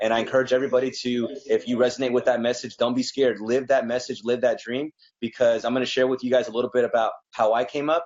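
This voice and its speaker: A man with a medium pitch rattles along at a very fast pace in a flat monotone. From Mexico, then Texas. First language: Spanish. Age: 20s. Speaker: realtor and business consultant. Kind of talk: interview.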